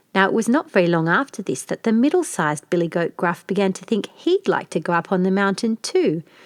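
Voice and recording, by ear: With lively intonation, a person is reading aloud in a natural voice.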